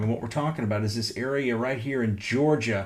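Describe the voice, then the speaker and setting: With ordinary pitch variation and a medium pitch, a man talks in an ordinary speaking voice. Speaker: meteorologist. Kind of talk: weather update livestream. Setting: at home.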